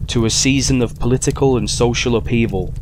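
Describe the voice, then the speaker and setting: With a Yorkshire accent, a man talks at a moderate pace in a fairly low pitch over noticeable background noise. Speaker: audiobook narrator. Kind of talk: horror story reading.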